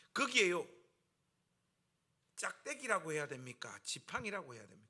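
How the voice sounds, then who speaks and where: In a raised, projected voice, a man speaks with a bright, sharp tone. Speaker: pastor. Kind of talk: sermon. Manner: animated.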